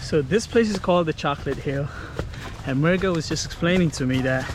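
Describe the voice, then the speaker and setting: Talking at a fairly quick pace, a high-pitched man shows ordinary pitch variation amid noticeable background noise. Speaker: travel vlogger. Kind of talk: casual vlog narration. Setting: outdoors. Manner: soft-spoken in places.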